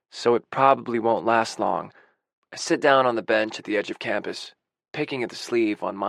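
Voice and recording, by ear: Natural-voiced reading aloud against a quiet background.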